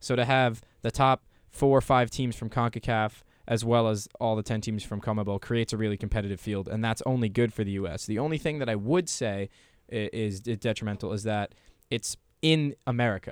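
In a very clean recording with a silent background and a dry, close sound with no echo, a man speaks at a fairly quick pace. He has an unremarkable speaking voice, medium in pitch with ordinary pitch variation. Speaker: soccer radio show co-host. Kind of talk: casual sports panel chat. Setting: radio studio.

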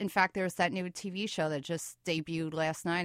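A woman's bright, sharp voice in a New York accent, quiet background, dry, close sound with no echo. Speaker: documentary filmmaker. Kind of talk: interview. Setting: studio.

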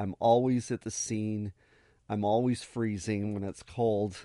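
Fairly low and dark, mellow in tone, a man's voice carries an American accent with monotone, flat intonation. He moves at a fairly slow pace, and the sound is dry and close with no echo. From Arizona, US. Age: 50s. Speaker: photographer. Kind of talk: radio interview. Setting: radio studio.

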